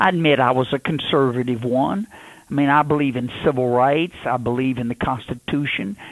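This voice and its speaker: A man talks at a fairly quick clip with a Louisiana accent. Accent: Southern US (Louisiana). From Louisiana, USA. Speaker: politician, presidential candidate. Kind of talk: radio interview answer.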